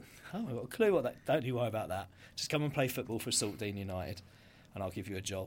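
A man with a southern English accent talks at a very fast pace, yet leaves long, frequent pauses. His voice is medium in pitch and somewhat breathy, with ordinary pitch variation. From Brighton, England. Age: 40s. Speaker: entrepreneur. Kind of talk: interview.

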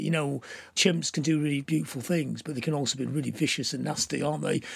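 This man talks at a very fast pace with a fairly high pitch. Vocal fry runs through his voice. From northern England, Blackpool. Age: 60s. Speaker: punk musician and writer. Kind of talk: casual interview chat. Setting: video call. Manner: lively.

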